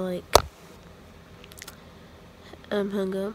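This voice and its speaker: A soft-spoken woman talks at a moderate pace over loud background noise, the sound dry with no echo. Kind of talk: casual vlog chat. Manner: soft, drowsy talk in bed. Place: home room. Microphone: phone near.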